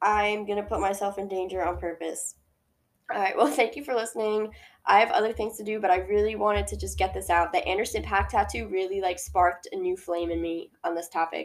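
Woman at a fairly quick pace in a very clean recording with a silent background. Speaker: podcast host. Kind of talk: angry rant about posthumous albums, passionate opinionated monologue; casual solo podcast monologue. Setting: solo home-recorded podcast. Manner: animated, fast and heated, ranting with exasperation; casual, rambling, self-interrupting.

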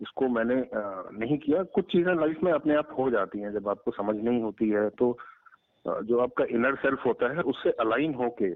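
This man has a normal speaking voice pitched in the middle range. He speaks with lively intonation. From eastern Uttar Pradesh (Ballia). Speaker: organic farmer and pizza entrepreneur. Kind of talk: interview.

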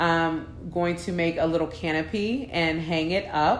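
Over audible room echo, a woman talks at a fairly low pitch with an animated tone. Her pace is fairly slow. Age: 30s. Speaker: podcaster. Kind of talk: casual monologue.

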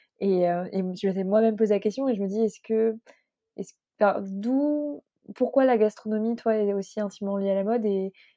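Speaking in a plain, everyday voice, a woman keeps a moderate pace and fairly high pitch with fairly even intonation. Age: 20s. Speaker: podcast host. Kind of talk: interview.

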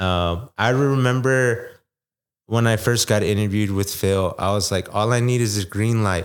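On a very clean recording with a silent background, a man with an unremarkable speaking voice and fairly low pitch speaks at a moderate pace with fairly even intonation. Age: 20s. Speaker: personal trainer. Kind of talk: casual chat.

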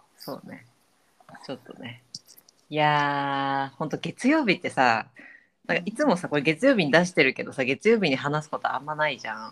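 With a very deep, low pitch, a woman speaks in an animated tone at a fairly quick pace, her intonation lively. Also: big swings in loudness. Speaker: podcast co-host. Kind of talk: casual chat.

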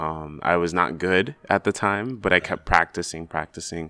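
A man's very deep, low voice with a bright, sharp tone, ordinary pitch variation and an American accent, on a very clean recording with a silent background. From US Mid-Atlantic (DC area, Maryland). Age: young. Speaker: photographer. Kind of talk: casual interview. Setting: library.

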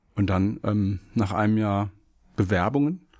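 A man speaks at a fairly low pitch. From Germany, Hesse (Wiesbaden). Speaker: law professor. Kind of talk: casual chat. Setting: studio.

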